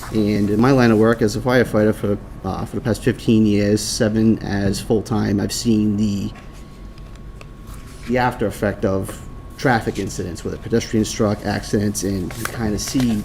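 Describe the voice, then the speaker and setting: Against noticeable background noise, a man with a strong Boston accent speaks at a moderate pace in a fairly low pitch and a monotone, flat intonation. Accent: thick Boston-area. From Rhode Island. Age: 30s. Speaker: firefighter. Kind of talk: public testimony at council meeting.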